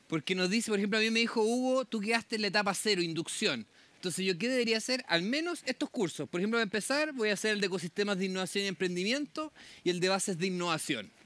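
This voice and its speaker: Very fast, lively speech from a man, high-pitched and bright, sharp in tone, with a dry sound and no echo. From southern Chile (Temuco); southern Chile. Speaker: public agency program manager. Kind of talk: conference talk. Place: tent.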